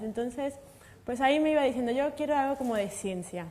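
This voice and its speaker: A woman speaks in a dark, mellow tone. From Mexico. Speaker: materials science researcher. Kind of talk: panel discussion.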